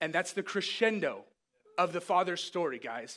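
Raised and projected, a man's high-pitched voice carries a bright, sharp tone at a moderate pace on a very clean recording with a silent background. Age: 30s. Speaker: preacher. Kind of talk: sermon.

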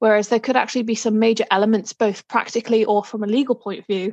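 A woman with a Liverpool accent talks at a very fast pace and a fairly high pitch in monotone, flat intonation, with a dry, close sound with no echo and a quiet background. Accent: Liverpool (Scouse) English. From Liverpool, England. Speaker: solicitor. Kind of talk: interview. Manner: hesitant, many fillers.

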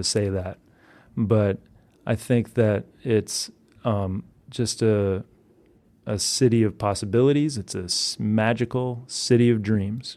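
A man with an American accent and a dark, mellow tone, fairly low in pitch, at a fairly slow pace with fairly even intonation, on a very clean recording with a silent background. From Massachusetts, suburb of Boston. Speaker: singer-songwriter. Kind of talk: interview.

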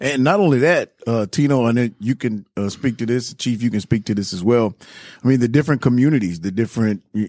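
A man with a Southern US accent, very fast and dark, mellow in tone, with ordinary pitch variation, in a very clean, dry, close recording with no echo and a silent background. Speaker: podcast host, police officer. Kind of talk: casual interview.

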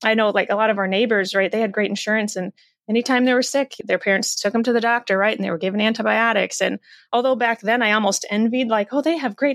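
The speech comes at a very fast pace with ordinary pitch variation, on a very clean recording with a silent background. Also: woman, dry, close sound with no echo. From US Midwest, Iowa. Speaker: doctor and author. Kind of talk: interview.

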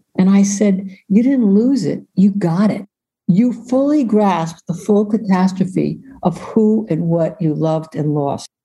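Somewhat breathy and dark, mellow in tone, a woman speaks at a fairly slow pace with a medium pitch and ordinary pitch variation. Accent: American. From New York. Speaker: social worker and author. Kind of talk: interview.

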